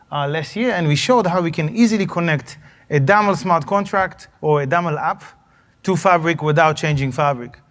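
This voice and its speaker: Fairly quick, fairly high-pitched speech from a man with ordinary pitch variation and audible room echo. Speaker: tech company CEO presenting a demo. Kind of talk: conference talk with live demo. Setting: stage with audience. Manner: fast.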